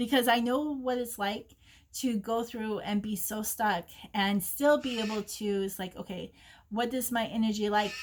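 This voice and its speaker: Somewhat breathy, a woman speaks at a moderate pace and fairly high pitch with fairly even intonation. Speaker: psychic reader. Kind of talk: oracle card reading. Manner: gentle and maternal.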